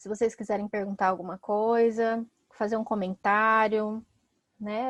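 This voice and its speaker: A woman's fairly high voice, very slow and monotone with flat intonation, dry and close with no echo against a quiet background. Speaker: psychologist and teacher. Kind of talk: online talk.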